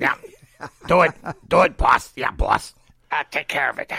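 Put-on character voice, moving at a moderate pace. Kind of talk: tough-guy.

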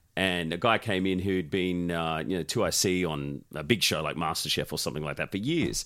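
With an Australian accent and a playful tone, a man speaks at a fairly quick pace with hardly any pauses, his very deep, low pitch moving with ordinary variation on a very clean recording with a silent background. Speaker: podcast host. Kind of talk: casual banter interview. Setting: studio, sharing one mic. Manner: joking, playful.

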